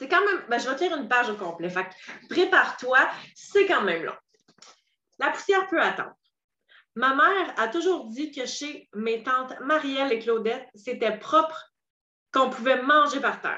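Raised and projected, a woman's high voice has a bright, sharp tone and very wide pitch swings. She leaves long, frequent pauses. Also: moderate pace. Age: 30s. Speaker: podcast host and coach. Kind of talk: solo podcast monologue.

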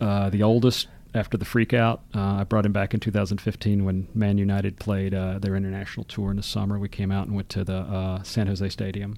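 A man with an Alabama accent, fairly low in pitch, dark and mellow in tone, flat and monotone in intonation, at a fairly quick pace with hardly any pauses. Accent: Southern US (Alabama). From US South, Birmingham, Alabama. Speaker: history professor. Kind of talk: casual interview. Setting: studio.

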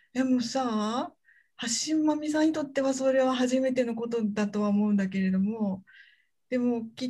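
A woman's somewhat breathy, fairly high voice at a moderate pace, with ordinary pitch variation. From Hyogo, Japan (Kansai). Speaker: university researcher and podcast anchor. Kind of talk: casual interview chat. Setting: video call.

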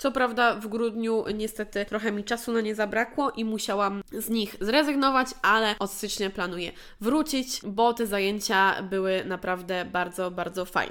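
A woman speaks at a moderate pace with fairly high pitch and hardly any pauses. She has a plain, everyday voice. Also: ordinary pitch variation. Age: 20s. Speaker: podcast host, dance coach. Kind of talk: solo monologue, year review.

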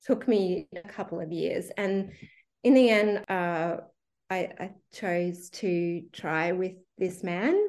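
Very slow in pace, a woman with an Australian accent speaks at a medium pitch with ordinary pitch variation. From Western Queensland, Australia. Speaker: teacher. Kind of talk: interview testimony. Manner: hesitant with fillers.

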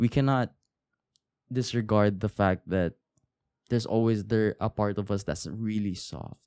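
A man speaks at a moderate pace in a fairly low, dark, mellow voice with fairly even intonation and long, frequent pauses, recorded with a dry, close sound and no echo. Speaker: podcast host. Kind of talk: solo podcast monologue, casual. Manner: casual, rambling, halting.

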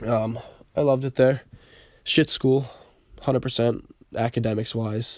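A man with an American accent talks at a moderate pace in a medium pitch. His intonation is monotone and flat, broken by long, frequent pauses. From Rhode Island, US. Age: young. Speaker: podcast host, college student. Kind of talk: casual monologue. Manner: hesitant, many fillers.

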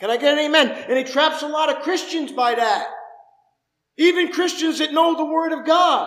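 A man talks at a moderate pace in an extremely high pitch with ordinary pitch variation, and audible room echo surrounds his voice. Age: 50s. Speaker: pastor. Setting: church service with congregation. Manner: fervent, conversational preaching with rhetorical questions; repetitive rhythmic cadence, building emphasis.

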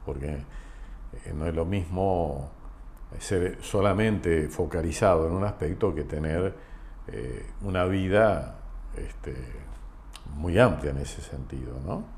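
Very slow and very deep, a man's voice carries lively intonation, long, frequent pauses and audible room echo. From Argentina, Entre Ríos (Concepción del Uruguay). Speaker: insurance company president. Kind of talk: interview conversation. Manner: halting.

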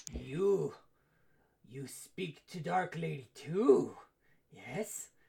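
This raspy, put-on character voice sits at a middle pitch. It unfolds at a very slow pace. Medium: actual play. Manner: broken, simple speech; demanding and repetitive.

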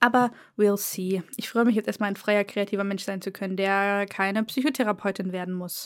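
A woman's unremarkable speaking voice at medium pitch and moderate pace, on a very clean recording with a silent background. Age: 20s. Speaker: podcast co-host, student, book YouTuber. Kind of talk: casual chat.

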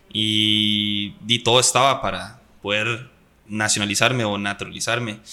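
With a Costa Rican accent, a man talks at a fairly slow pace in a fairly low pitch with a bright, sharp tone. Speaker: professional footballer. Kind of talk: casual chat. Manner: animated.

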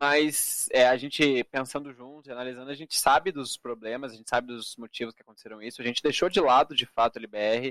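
A man's plain, everyday voice of medium pitch, at a fairly quick pace with fairly even intonation and big swings in loudness, on a very clean recording with a silent background. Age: 20s. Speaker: esports card game player. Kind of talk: casual interview.

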